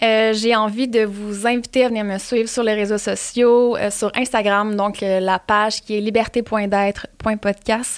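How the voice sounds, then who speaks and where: Speaking at a fairly slow pace with hardly any pauses, a woman holds a fairly high pitch in monotone, flat intonation. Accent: Quebec. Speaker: podcast host. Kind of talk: casual chat; sponsor read.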